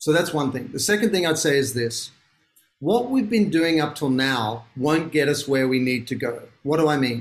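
A man with an Australian accent, lively intonation and a moderate pace. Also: fairly high pitch for a man. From Australia, Sydney. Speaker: author and business founder. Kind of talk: interview.

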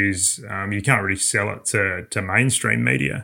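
A man with an Australian accent speaks at a moderate pace, his pitch fairly low with ordinary variation. His tone is bright and sharp, with vocal fry. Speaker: motorsport journalist. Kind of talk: casual chat. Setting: remote call.

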